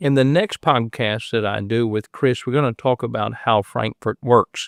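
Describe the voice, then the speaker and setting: At a moderate pace, a speaker with an Appalachian accent is heard dry and close with no echo over a quiet background. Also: man. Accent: Appalachian Kentucky. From Southeast Kentucky. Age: 60s. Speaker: podcast host and preacher. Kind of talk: casual interview.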